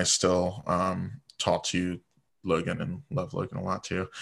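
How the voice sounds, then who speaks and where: A man with an American accent and a very deep, low pitch, at a fairly slow pace against a quiet background. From Virginia Beach, US. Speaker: drag performer. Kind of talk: casual chat. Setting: video call.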